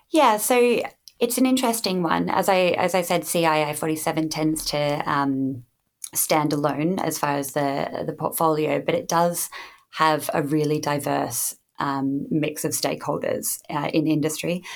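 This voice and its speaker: With an Australian accent, a woman speaks fairly slowly in a very deep, low voice with lively intonation. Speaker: standards development manager. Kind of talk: interview.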